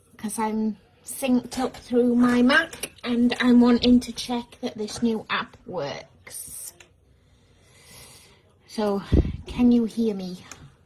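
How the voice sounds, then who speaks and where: Speaking at a very slow pace with long, frequent pauses, a woman uses a high pitch with ordinary pitch variation. Noticeable background noise is present. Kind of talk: casual live stream chat. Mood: amused, testing setup. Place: home room.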